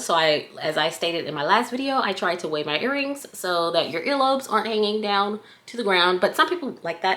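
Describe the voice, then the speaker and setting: With an American accent, a woman at medium pitch talks at a moderate pace with very wide pitch swings amid noticeable background noise. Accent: southern US, comes out at times. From US South. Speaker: accessory maker and product reviewer. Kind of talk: casual product review vlog. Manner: chatty.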